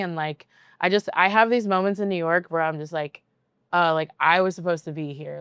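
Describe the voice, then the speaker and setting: On a very clean recording with a silent background and a dry, close sound with no echo, a woman talks in a normal speaking voice, fairly low pitched, at a fairly quick pace with fairly even intonation. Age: 30s. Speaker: DJ. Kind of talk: casual chat. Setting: recorded at a venue. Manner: many filler words, rambling pace.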